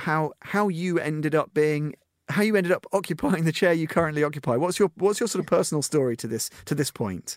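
A plain, everyday voice moves at a fairly quick pace. The recording is very clean, dry and close, with a silent background and no echo. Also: man. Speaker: radio host. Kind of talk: radio interview intro and questions.

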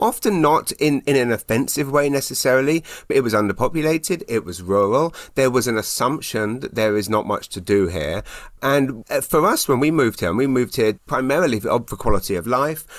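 A man at a fairly quick pace and medium pitch, with lively intonation. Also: very clean recording, silent background. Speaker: magazine editor. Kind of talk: casual interview chat.

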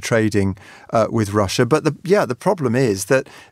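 This man has an ordinary speaking voice. He talks at a fairly quick pace. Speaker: journalist and consultant panelist. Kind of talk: casual panel discussion.

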